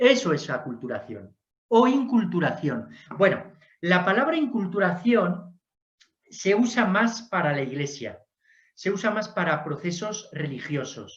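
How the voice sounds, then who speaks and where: A Spanish accent at a fairly slow pace. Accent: Spanish (Spain). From Spain. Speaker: lecturer on Jesuit history. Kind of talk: lecture Q&A.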